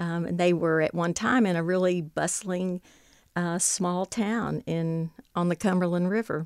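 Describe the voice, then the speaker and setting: A woman with an American accent speaks fairly slowly at a fairly low pitch, her intonation fairly even. The recording is very clean, with a silent background and a dry, close sound with no echo. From Western Kentucky (Paducah). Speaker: author and former lawyer. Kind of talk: interview. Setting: studio.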